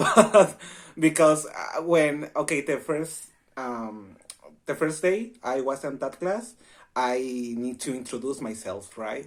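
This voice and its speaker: A man with a Spanish accent, fairly high in pitch, with lively intonation at a very slow pace, on a very clean recording with a silent background. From Mexico, Baja California. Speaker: university student. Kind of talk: casual chat.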